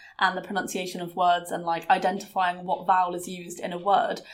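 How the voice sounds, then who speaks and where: A woman is talking. Her pitch is medium. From southwest England. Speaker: podcast host. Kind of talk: casual chat.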